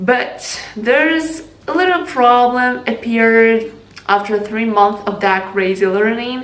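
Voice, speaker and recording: A woman speaks at a fairly slow pace with an American accent. Noticeable background noise runs behind her. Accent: non-native, learned American pronunciation. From Ukraine. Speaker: English learning vlogger. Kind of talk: casual talk to camera.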